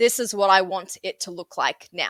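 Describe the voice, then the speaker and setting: A woman's bright, sharp tone comes at a moderate pace. The sound is dry and close with no echo, in a very clean recording with a silent background. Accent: Sydney. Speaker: software trainer. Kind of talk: interview. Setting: podcast.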